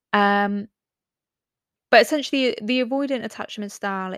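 In a very clean recording with a silent background, a woman speaks with an English accent. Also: dry, close sound with no echo. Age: 20s. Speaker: podcast host. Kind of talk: casual monologue.

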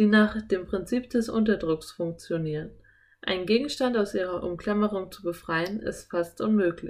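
Pitch varies in an ordinary way. The text is read aloud in a natural voice.

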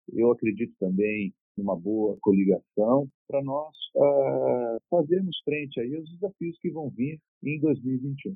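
The pace is very slow. Pitch swings are very wide. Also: man, medium pitch for a man. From Brazil, São Paulo. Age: 50s. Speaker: retired air force officer and mayoral pre-candidate. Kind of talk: interview. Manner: calm.

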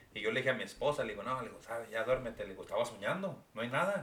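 Noticeable background noise surrounds a man talking at a very fast pace. His pitch is fairly high. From Mexico. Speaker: podcast co-host. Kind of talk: casual chat.

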